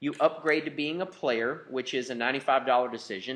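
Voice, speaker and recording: A man is speaking. His pitch is fairly high. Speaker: business presenter. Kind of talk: sales pitch. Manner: fast.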